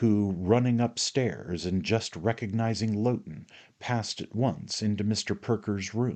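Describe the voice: What you hear is plain reading aloud.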